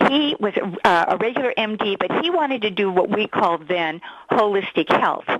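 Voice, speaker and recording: A woman's lively intonation comes through dry and close with no echo, with noticeable background noise behind her. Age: 60s. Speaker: facial exercise program creator. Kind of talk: interview.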